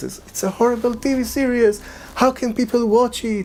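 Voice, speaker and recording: A man with an Israeli accent talks at a fairly quick pace. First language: Hebrew. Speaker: filmmaker and spiritual guide. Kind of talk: commentary talk to camera.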